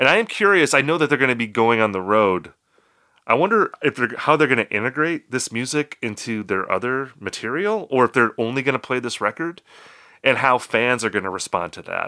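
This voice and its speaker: An unremarkable speaking voice from a man at medium pitch moves at a fairly quick pace with lively intonation, the sound dry and close with no echo in a very clean recording against a silent background. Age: 40s. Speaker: music podcast host. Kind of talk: casual chat.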